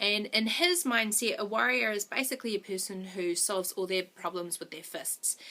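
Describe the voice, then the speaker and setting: In a New Zealand accent, the voice moves at a fairly quick pace with lively intonation and a bright, sharp tone. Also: woman. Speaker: movie reviewer vlogger. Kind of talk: video review monologue.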